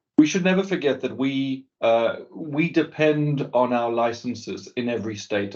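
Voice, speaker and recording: Speaking at a moderate pace with a South African accent, a man has a medium pitch and ordinary pitch variation. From South Africa, Cape Town. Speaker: business executive. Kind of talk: interview. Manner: halting, many repeated words.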